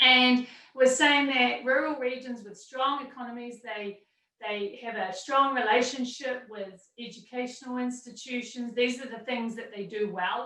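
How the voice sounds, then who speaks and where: A woman speaks with a New Zealand accent in a high pitch. Her intonation is fairly even, while her loudness swings widely. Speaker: university entrepreneurship center director. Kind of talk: panel presentation. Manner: fast.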